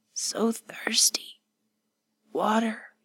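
A woman whispers in a hoarse, put-on character voice. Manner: whispered.

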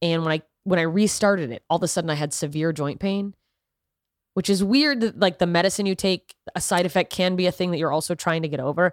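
In a very clean recording with a silent background and a dry, close sound with no echo, a woman talks at a fairly quick pace with a fairly low pitch and ordinary pitch variation. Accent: American. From US South. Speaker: comedian. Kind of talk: casual chat. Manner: talkative.

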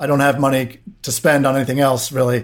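A man with an American accent talks at a fairly quick pace in an ordinary speaking voice of medium pitch, with fairly even intonation. The recording is very clean, with a silent background. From US, Washington DC. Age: 30s. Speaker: tech founder and CEO. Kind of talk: podcast interview.

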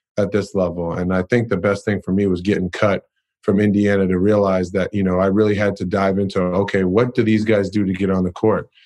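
Fairly quick, monotone, flat speech from a man with a fairly low voice against a quiet background. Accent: American. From Massachusetts, Boston area. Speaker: professional basketball player. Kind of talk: interview.

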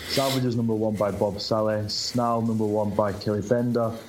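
Flat and monotone, a man with a British accent speaks in a fairly low voice amid audible room echo. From Britain. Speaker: comic book creator. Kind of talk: casual chat.

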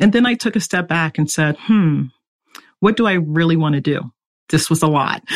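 An unremarkable speaking voice with an American accent, moderate pace and lively intonation. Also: woman, fairly low pitch for a woman. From US East Coast. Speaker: security engineering executive. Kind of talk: interview.

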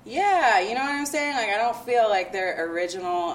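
A woman's voice swings very widely in pitch. Noticeable background noise is present. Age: 30s. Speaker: events marketing consultant and hip hop blogger. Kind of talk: casual chat.

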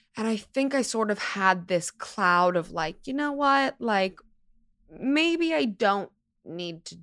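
A woman speaks with an American accent, her pitch swinging very widely. The recording is very clean, with a silent background. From US West Coast, Los Angeles. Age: 20s. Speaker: model and actress. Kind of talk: casual interview chat. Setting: studio.

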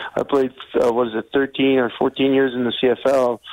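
Over noticeable background noise, a man speaks at a fairly quick pace. His pitch is medium and his intonation is monotone and flat. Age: 40s. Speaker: retired pro football player training as firefighter. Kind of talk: radio interview. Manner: hesitant, many fillers.

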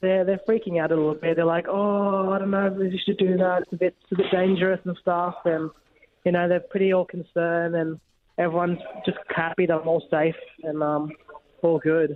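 A man with an Australian accent talks at a fairly quick pace in a high voice, his intonation monotone and flat. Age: 20s. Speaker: firefighter. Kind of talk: interview. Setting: phone call. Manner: halting, many fillers.

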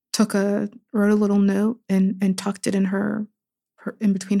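A woman speaks at a medium pitch with a somewhat breathy, dark, mellow tone. Her pace is fairly slow. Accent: American. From US, Pittsburgh. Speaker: writer and poet. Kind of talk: casual interview conversation.

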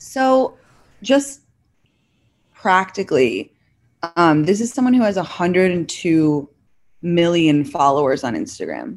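Speaking fairly slowly at a medium pitch, a woman uses very wide pitch swings and long, frequent pauses. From London, England (American parents). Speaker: social media creator. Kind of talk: casual interview chat.

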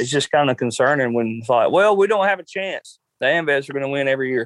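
Talking at a very fast pace, a man with a Southern US accent shows ordinary pitch variation. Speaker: cook-off contestant. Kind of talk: interview. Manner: casual, hesitant.

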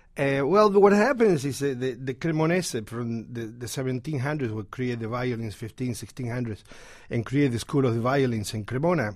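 With an Argentine accent, a man talks at a moderate pace and medium pitch, his intonation lively. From Argentina. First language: Spanish. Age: 60s. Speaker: guitar shop owner. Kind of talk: radio interview. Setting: studio.

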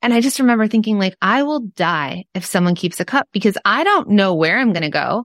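In a very clean recording with a silent background and a dry, close sound with no echo, a woman with a Southern California accent talks at a medium pitch with lively intonation and hardly any pauses. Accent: valley girl American. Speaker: entrepreneur and podcast cohost. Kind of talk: casual interview chat.

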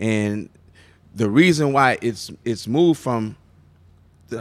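With an American accent and lively intonation, a man speaks at medium pitch on a very clean recording with a silent background. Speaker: radio personality and MC. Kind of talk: live interview. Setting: live recording with audience. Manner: energetic; loud.

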